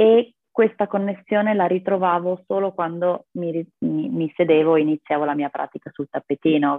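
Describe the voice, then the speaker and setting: A woman speaks at a fairly slow pace in a very deep, low pitch. Her pitch variation is ordinary. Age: 20s. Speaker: yoga practitioner and rock climber. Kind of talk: interview conversation.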